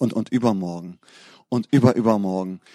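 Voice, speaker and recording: Recorded very cleanly with a silent background and a dry, close sound with no echo, a man speaks at a moderate pace in an animated, warm tone. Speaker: pastor. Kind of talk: sermon. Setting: church. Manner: animated, warm and fervent.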